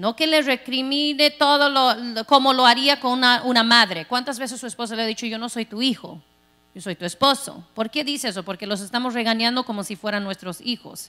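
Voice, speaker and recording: A woman's high-pitched voice at a fairly quick pace, with ordinary pitch variation. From Texas. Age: 40s. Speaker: pastor. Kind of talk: sermon. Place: church. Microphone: handheld.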